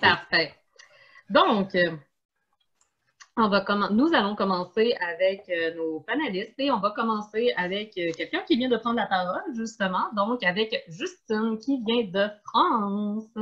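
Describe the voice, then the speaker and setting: A woman with a fairly high pitch speaks at a very slow pace. Her intonation is lively. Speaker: event host, museum community organizer. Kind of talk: online panel moderation.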